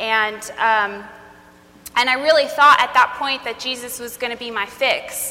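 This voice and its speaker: Through noticeable background noise, a woman with a high pitch speaks at a moderate pace. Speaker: speaker on trauma. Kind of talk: talk to a live audience. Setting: stage with audience.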